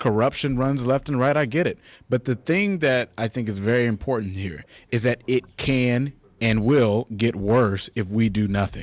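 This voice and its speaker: A man's animated, medium-pitched voice with ordinary pitch variation at a moderate pace, dry and close with no echo, in a very clean recording with a silent background. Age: young. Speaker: congressional candidate. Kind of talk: political talk radio interview.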